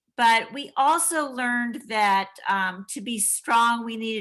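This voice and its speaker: Against a quiet background, a woman speaks very slowly at a fairly high pitch in a bright, sharp tone. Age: 60s. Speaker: university dean and physical therapist. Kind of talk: panel discussion talk. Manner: halting, many fillers.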